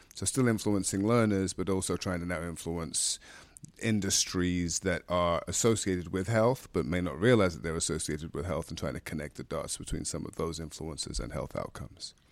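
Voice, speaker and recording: A man speaks at a fairly quick pace in a very deep, low voice with vocal fry and ordinary pitch variation, on a very clean recording with a silent background. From London, England. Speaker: public health physician and professor. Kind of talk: interview.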